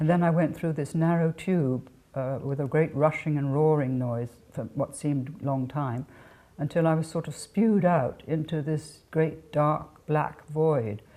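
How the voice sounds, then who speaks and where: In an RP accent, a woman speaks with a very deep, low pitch and a dark, mellow tone. Her pitch varies in an ordinary way, on a very clean recording with a silent background. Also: fairly slow pace. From England. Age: 80s+. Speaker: author. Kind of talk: interview. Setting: home. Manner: halting.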